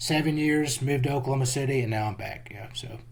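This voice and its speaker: A man with a strong Texas accent, a medium pitch, a somewhat breathy sound and a moderate pace, plus audible room echo. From Central Texas. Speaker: geologist and jiu-jitsu practitioner. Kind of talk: casual interview chat.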